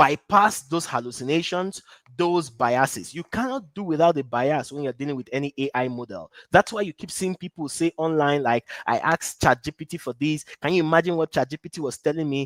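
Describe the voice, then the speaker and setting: In an unremarkable speaking voice, a man talks at a fairly quick pace and fairly high pitch with ordinary pitch variation and hardly any pauses, the sound dry and close with no echo. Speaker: business and AI coach. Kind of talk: live online masterclass.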